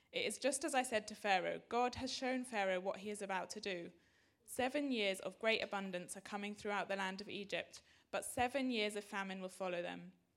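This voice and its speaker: Here a woman speaks at a medium pitch and a fairly quick pace. She has an unremarkable speaking voice with ordinary pitch variation. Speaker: congregation member reading scripture. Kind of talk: reading aloud.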